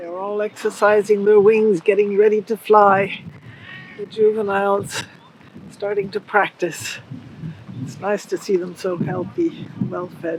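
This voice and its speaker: Fairly even intonation at a fairly slow pace, with long, frequent pauses, big swings in loudness and noticeable background noise. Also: woman, medium pitch for a woman. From Galapagos Islands, Ecuador. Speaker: wildlife photographer and tour leader. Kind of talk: explanatory talk on tour.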